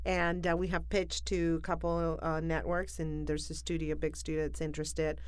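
A woman talking at a fairly quick pace with hardly any pauses and very even loudness, in audible room echo. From Argentina, Buenos Aires. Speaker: comedian. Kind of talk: casual chat.

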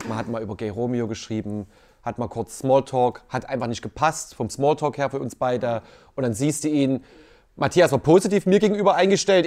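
On a very clean recording with a silent background, a man speaks at a moderate pace and medium pitch, his pitch swinging very widely. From Leipzig, Saxony. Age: 30s. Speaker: dating show contestant. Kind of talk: casual interview.

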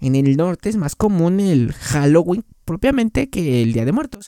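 Dry and close with no echo, this voice carries a Mexican accent and a dark, mellow tone. It moves at a fairly slow pace with very wide pitch swings. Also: man. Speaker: podcast host. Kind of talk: casual chat. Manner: animated.

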